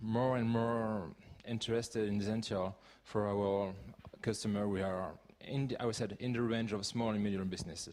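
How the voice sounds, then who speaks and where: A man talks with a French accent at fairly low pitch. His loudness stays very even. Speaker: conference speaker, open-source community leader. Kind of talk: conference talk. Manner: halting, with many fillers.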